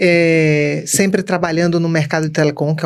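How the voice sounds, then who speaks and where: A woman's very deep, low voice with a northeastern Brazilian accent and a monotone, flat intonation. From Brazilian Northeast, Recife. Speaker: customer experience speaker and co-author. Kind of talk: podcast interview. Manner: talkative.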